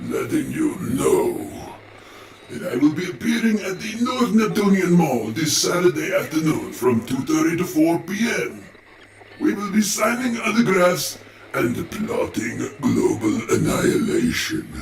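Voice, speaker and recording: A man puts on a cartoonish character voice with a high pitch. He goes at a fairly slow pace, and there is a slight echo. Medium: puppet. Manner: grandiose, comic.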